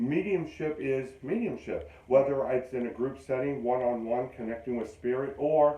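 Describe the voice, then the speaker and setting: A man's unremarkable speaking voice, medium in pitch with ordinary variation, at a fairly quick pace. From western Pennsylvania. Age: 60s. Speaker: psychic medium. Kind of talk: interview. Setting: studio.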